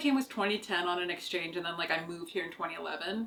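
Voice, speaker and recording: A woman with a Canadian accent at a very fast pace, very wide pitch swings and noticeable background noise. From Canada, small town near Toronto. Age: 30s. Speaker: podcast host. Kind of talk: casual chat. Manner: casual, filler-heavy.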